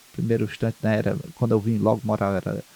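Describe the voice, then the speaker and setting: A man is heard in a dry, close recording with no echo. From Ceará, Brazil (Maranguape). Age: 60s. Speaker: Umbanda priest and community leader. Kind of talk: interview. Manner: halting, with many repetitions.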